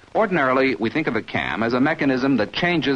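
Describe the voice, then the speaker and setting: Amid noticeable background noise, a man of medium pitch talks with very wide pitch swings. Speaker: film narrator. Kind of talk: vintage training film narration. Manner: formal, measured, authoritative; even-paced, didactic, instructional.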